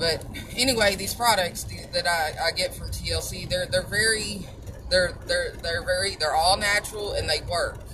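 A woman with a Southern US accent at a moderate pace, over noticeable background noise. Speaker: supplement seller and vlogger. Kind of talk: casual monologue with sales pitch. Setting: driving in a car. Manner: animated, chatty, upbeat.

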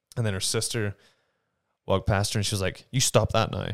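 A man speaks very fast in a Northern Irish accent, fairly low in pitch and monotone with flat intonation. The recording is very clean with a silent background and a dry, close sound with no echo. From Northern Ireland. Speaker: actor. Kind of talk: casual conversation. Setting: home studio.

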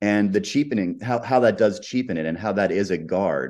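A man with an American accent has a plain, everyday voice at a fairly low pitch. He speaks at a moderate pace with lively intonation against a quiet background. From United States. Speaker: comedian and musician. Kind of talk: casual interview chat, personal storytelling.

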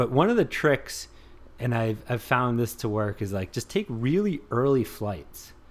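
An unremarkable speaking voice from a man, medium in pitch, fairly slow, with lively intonation. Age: 30s. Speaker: copywriter and stand-up comedian. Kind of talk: casual chat.

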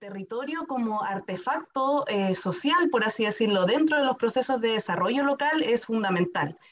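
A woman's fairly high voice with lively intonation, big swings in loudness and hardly any pauses, over noticeable background noise. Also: moderate pace. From Chile, Temuco (Araucanía). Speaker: lawyer and university director. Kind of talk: interview.

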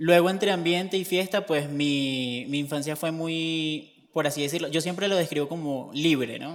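In a plain, everyday voice, a man talks at a moderate pace with fairly even intonation. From Venezuela, Barquisimeto. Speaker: seminarian, theology student. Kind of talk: interview testimony.

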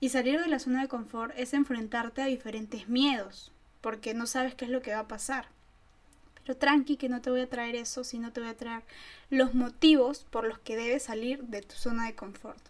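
Her loudness swinging widely, a woman speaks at a moderate pace and a high pitch with fairly even intonation. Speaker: podcast co-host, student. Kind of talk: casual chat.

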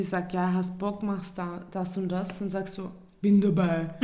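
A woman's medium-pitched voice in a Viennese accent, monotone and flat, at a fairly slow pace with audible room echo. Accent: Viennese Austrian German. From Vienna, Austria. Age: 20s. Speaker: podcast co-host. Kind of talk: casual chat.

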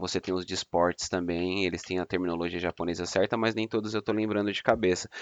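Very fast speech from a man with a fairly low pitch, the sound dry and close with no echo, over a quiet background. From São Paulo city, Brazil. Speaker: fraud prevention analyst, anime fan. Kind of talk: casual chat.

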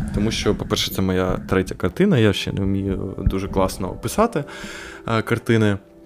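Noticeable background noise sits behind speech that moves at a moderate pace with fairly even intonation. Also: man. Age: young. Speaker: podcast host, law student. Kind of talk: solo monologue podcast. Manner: casual, hesitant with filler sounds.

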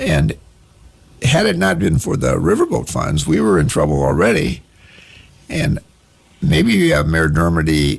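With noticeable background noise, a man speaks in an American accent at a moderate pace. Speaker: county councilman. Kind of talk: radio interview, call-in Q&A. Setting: radio studio.

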